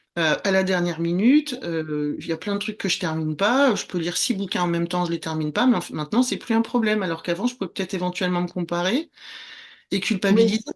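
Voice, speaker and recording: Words come out very quickly. The voice shows typical pitch movement. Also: woman, medium pitch for a woman. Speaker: former documentary filmmaker, spiritual guide. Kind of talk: interview conversation.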